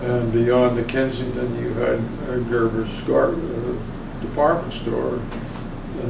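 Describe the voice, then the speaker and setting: A man speaks at a very slow pace with an American accent. Loud background noise runs underneath. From Sayville, Long Island, New York. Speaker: oral history interviewee. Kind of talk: oral history interview answer.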